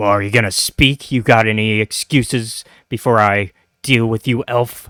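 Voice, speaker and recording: A man growls in a put-on character voice at medium pitch, with fairly even intonation and a moderate pace. The sound is dry and close with no echo, on a very clean recording with a silent background. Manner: growling, menacing.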